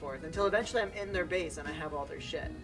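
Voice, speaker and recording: With music behind him, a man rattles off his words very fast. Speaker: online gamer. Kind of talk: casual, joking storytelling.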